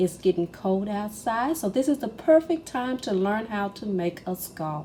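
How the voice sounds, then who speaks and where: Her fairly high voice has a dark, mellow tone and is somewhat breathy, as the woman speaks with lively intonation. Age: 50s. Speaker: crochet teacher. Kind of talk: craft tutorial talk to camera.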